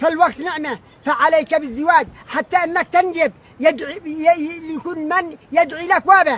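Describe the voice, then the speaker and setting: Speaking in a Yemeni accent, a man with an extremely high pitch and a bright, sharp tone moves at a moderate pace with ordinary pitch variation. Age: 70s. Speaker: father appealing to absent son. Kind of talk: emotional plea. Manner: halting.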